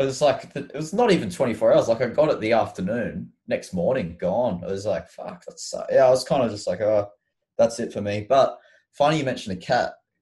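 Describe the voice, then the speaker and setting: Against a quiet background, a man with an Australian accent speaks at a fairly quick pace. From Queensland, Australia (Mackay, Sunshine Coast). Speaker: rock musician. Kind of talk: casual chat. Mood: relaxed, friendly chat. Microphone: video call.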